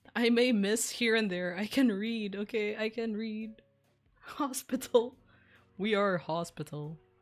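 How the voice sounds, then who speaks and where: Music plays in the background as a woman speaks at a fairly slow pace in a fairly high pitch, with ordinary pitch variation. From Philippines, Visayas. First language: Bisaya. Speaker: streamer. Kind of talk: casual chat.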